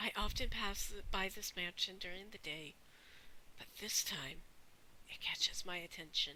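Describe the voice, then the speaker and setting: A woman whispers with long, frequent pauses. Her loudness swings a lot. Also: moderate pace. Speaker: gaming youtuber. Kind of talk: let's play commentary, reading game text aloud.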